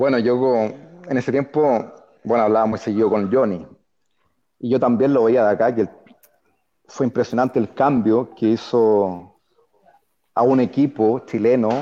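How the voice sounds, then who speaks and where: A man's medium-pitched voice, dark and mellow, at a fairly slow pace with long, frequent pauses, very even loudness and fairly even intonation. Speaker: former footballer. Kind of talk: interview.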